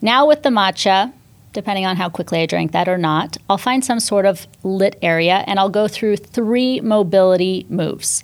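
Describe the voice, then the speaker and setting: A woman's medium-pitched voice, an ordinary speaking voice, with ordinary pitch variation and a moderate pace. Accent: American. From Northern California, US. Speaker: fitness instructor and entrepreneur. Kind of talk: podcast interview.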